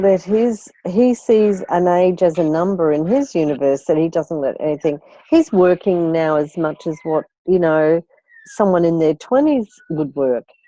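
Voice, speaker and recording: A woman with an Australian accent, fairly low-pitched, at a fairly slow pace with lively intonation, in a dry, close sound with no echo. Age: 60s. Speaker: life coach. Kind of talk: coaching call. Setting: phone call.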